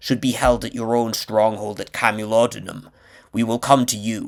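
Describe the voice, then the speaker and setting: Growling in a put-on character voice, a man speaks at a medium pitch. His pace is moderate, and the recording is very clean with a silent background. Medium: read story. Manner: formal, courtly.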